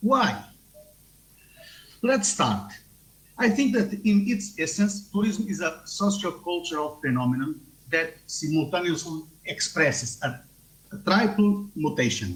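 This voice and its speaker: In a room with audible echo, a man speaks at a fairly slow pace in a high pitch, with lively intonation. He leaves long, frequent pauses. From Portugal. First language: Portuguese. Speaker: tourism researcher. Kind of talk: conference talk via video link. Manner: halting.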